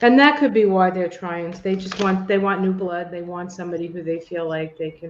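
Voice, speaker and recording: A woman with an ordinary speaking voice talks at a fairly quick pace with hardly any pauses, her fairly low pitch paired with big swings in loudness. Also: ordinary pitch variation. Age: 60s. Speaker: podcast co-host. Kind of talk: casual chat.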